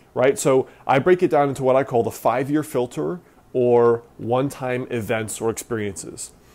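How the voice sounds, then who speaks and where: A man speaks at a medium pitch and a moderate pace. His pitch varies in an ordinary way, with a plain, everyday voice. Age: 30s. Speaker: self-improvement blogger. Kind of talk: interview.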